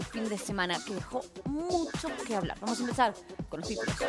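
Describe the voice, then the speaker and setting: There is clear music in the background as a woman speaks. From Mendoza, Argentina. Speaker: TV news anchor. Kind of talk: TV news show opening. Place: studio.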